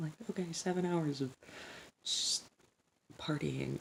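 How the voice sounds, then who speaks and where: A soft-spoken voice moving at a fairly slow pace. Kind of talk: casual soft-spoken ASMR ramble.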